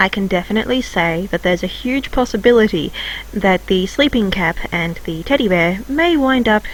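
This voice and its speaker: Noticeable background noise sits behind a woman's voice. She talks at a moderate pace with lively intonation. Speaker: hobby artist and video creator. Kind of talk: scripted narration.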